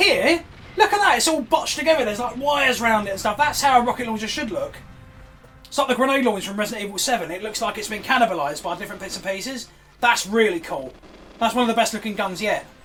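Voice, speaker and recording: The speech comes at a very fast pace with lively intonation. Noticeable background noise is present. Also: man, extremely high pitch for a man. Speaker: gaming youtuber. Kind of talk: reaction commentary. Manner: animated.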